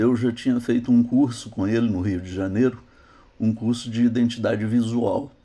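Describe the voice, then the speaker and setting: A man's dark, mellow voice at medium pitch, fairly slow, with fairly even intonation. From Minas Gerais, Zona da Mata, Brazil. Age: 60s. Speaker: graphic designer and illustrator. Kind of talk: interview. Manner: halting, frequent hesitations.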